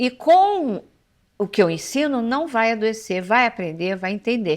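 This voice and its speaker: The speaker talks at a fairly slow pace with very wide pitch swings, on a very clean recording with a silent background. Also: woman, fairly high pitch for a woman. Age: 60s. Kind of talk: casual interview chat.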